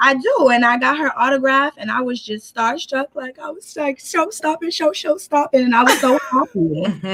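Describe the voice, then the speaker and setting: In a strong New York accent, a woman speaks with a high pitch and lively intonation. Her pace is moderate. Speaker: guest commentator. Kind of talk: casual chat. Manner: animated.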